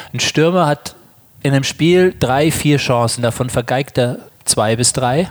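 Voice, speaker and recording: This is a normal speaking voice from a man, at a medium pitch. He goes at a fairly slow pace with ordinary pitch variation. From Germany. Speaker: yoga teacher and psychologist. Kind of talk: interview. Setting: on location at a conference.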